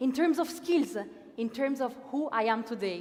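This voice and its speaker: Against noticeable background noise, a woman with an Italian accent speaks in a high voice with lively intonation. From Italy, Milan. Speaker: master of ceremonies. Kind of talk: opening ceremony speech. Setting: stage with audience. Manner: animated.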